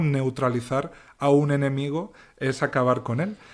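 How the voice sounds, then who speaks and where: A man's medium-pitched voice is heard in a very clean recording with a silent background. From Castilla-La Mancha, Spain. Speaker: novelist and cultural journalist. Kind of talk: interview. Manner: thoughtful, articulate with some false starts.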